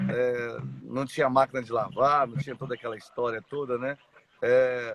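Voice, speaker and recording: The speaker is a man at a medium pitch. His pace is moderate and his intonation monotone and flat. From Brazil, Mato Grosso do Sul (Dourados). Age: 40s. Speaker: church member sharing life story. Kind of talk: testimony. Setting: live stream. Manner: halting.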